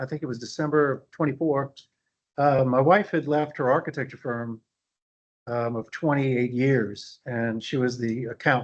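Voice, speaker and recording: A man with an American accent has an ordinary speaking voice. His pitch is medium and his intonation fairly even. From US South, New Orleans, Louisiana. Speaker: value engineering officer, landscape architect. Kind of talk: conference presentation. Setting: meeting room with audience and online attendees.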